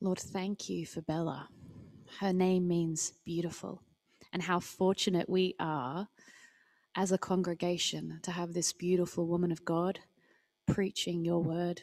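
A woman with an Australian accent speaks at a fairly slow pace in a fairly low pitch, her intonation monotone and flat, with long, frequent pauses over a quiet background. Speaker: service co-host. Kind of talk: church service hosting and prayer. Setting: church hall, livestreamed. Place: stage.

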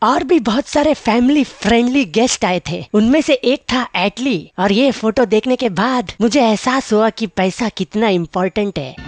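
In a cartoonish character voice pitched extremely high, a man rattles on with hardly any pauses. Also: moderate pace. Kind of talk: comic monologue in Hindi. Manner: boastful, joking.

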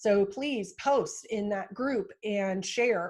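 The voice has fairly even intonation over a quiet background. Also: woman. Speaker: marketing consultant hosting a virtual town hall. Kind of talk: virtual town hall wrap-up, casual presentation. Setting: video call. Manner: loud.

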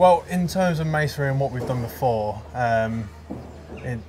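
Over noticeable background noise, a man goes at a fairly slow pace with very wide pitch swings. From Yorkshire. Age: 20s. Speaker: apprentice stonemason. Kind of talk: interview.

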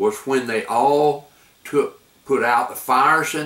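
Audible room echo follows a man as he talks. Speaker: grandfather storyteller. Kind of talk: storytelling to camera. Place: home room.

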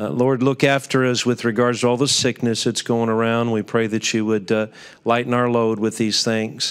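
Someone talks at a moderate pace against a quiet background. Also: man. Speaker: pastor giving invocation. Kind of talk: prayer. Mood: calm, reverent. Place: hall. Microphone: podium.

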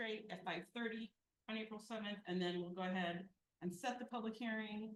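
This woman has an ordinary speaking voice and a fairly high pitch. She talks at a fairly quick pace. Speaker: city finance official presenting budget. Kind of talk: budget presentation at council meeting.

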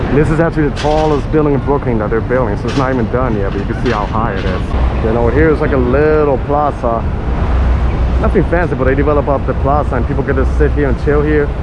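A man at a very fast pace, dry with no echo, over loud background noise. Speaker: walking tour vlogger. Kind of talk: casual vlog chat. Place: street. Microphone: phone near.

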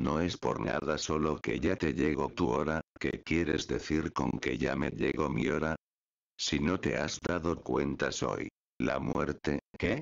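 A man speaks at a very slow pace in a very deep, low voice with vocal fry. His loudness stays very even and his pitch varies in an ordinary way. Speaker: YouTuber. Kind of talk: creepypasta ghost story narration, hushed and ominous, with suspenseful pauses. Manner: casual, friendly YouTuber.

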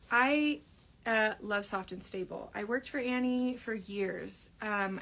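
A woman's voice with fairly even intonation. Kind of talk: live Q&A tutorial chat. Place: workshop. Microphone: phone near.

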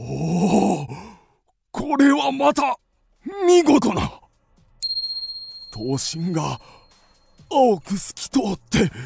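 Using a put-on character voice pitched high, a man speaks very slowly with long, frequent pauses.

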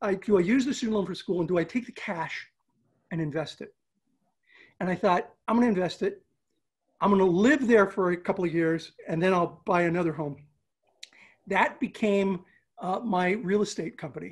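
Against a quiet background, a man with a high pitch speaks at a moderate pace, ordinary pitch variation, and long, frequent pauses. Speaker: remote podcast guest. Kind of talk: interview answer. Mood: amused, storytelling. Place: home room. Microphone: video call.

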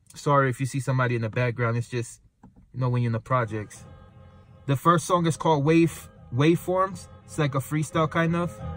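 Faint music plays behind a man who talks at a fairly quick pace in a dry sound with no echo. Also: ordinary pitch variation. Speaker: channel host introducing music. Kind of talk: casual vlog chat. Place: car. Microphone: phone near.

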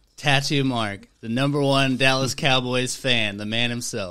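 Against a quiet background, a man speaks at a moderate pace. His tone is bright and sharp, with fairly even intonation. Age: 20s. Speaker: podcast host. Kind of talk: casual chat. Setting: man cave. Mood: relaxed, friendly. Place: home room. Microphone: studio mic.

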